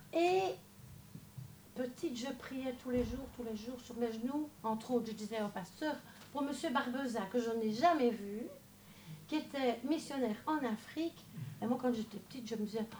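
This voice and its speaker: Over noticeable background noise, a woman with a high voice and ordinary pitch variation speaks at a moderate pace with long, frequent pauses. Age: 60s. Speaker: church member giving testimony. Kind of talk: testimony.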